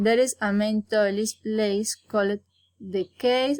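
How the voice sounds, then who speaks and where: Speaking very slowly, a woman with a Colombian accent has a fairly high pitch. The sound is dry and close with no echo, on a very clean recording with a silent background. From Colombia, Santander. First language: Spanish. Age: 20s. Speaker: university student. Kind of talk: prepared self-introduction for English class. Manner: halting.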